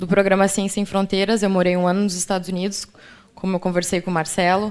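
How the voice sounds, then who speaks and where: The woman's intonation stays monotone and flat. Her voice rests at a medium pitch. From Rio Grande do Sul, Brazil (Ijuí). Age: 20s. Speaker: agronomy student. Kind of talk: radio interview.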